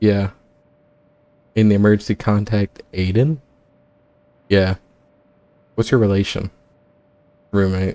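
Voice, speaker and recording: A man with a fairly low pitch, very even loudness, and a dark, mellow tone, with fairly even intonation, long, frequent pauses, and a dry, close sound with no echo. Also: fairly slow pace. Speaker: gaming YouTuber. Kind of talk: let's play commentary, reading game dialogue aloud. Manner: casual, plain own voice for characters.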